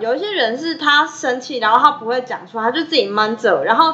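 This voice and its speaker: A woman with a Taiwanese accent projects her raised voice at a fairly quick pace. Noticeable noise sits in the background. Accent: Taiwanese Mandarin. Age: young. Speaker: podcast co-host. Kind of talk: casual chat.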